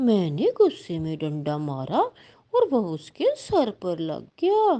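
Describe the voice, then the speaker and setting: Using a cartoonish character voice, a woman speaks at a medium pitch and a fairly slow pace. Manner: aggressive.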